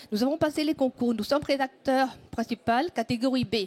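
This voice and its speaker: The sound is dry and close with no echo as a woman speaks at a high pitch and a moderate pace, with ordinary pitch variation. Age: 60s. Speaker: town hall secretary. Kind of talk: audience question.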